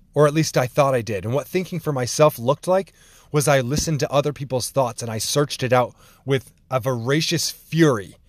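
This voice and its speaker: This is a man with an ordinary speaking voice and ordinary pitch variation. He talks at a fairly quick pace. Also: very clean recording, silent background. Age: 30s. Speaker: podcast host. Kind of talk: solo monologue.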